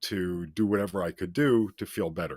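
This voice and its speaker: This man has an unremarkable speaking voice with lively intonation. He talks at a fairly slow pace in a very clean recording with a silent background. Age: 60s. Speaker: guest on talk show, former addict. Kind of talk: personal testimony in interview.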